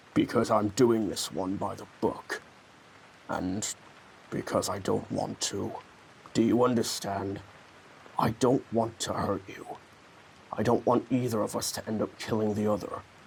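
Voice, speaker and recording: A man puts on a character voice at a medium pitch. He moves at a moderate pace, leaving long, frequent pauses. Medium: dub. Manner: serious, grave.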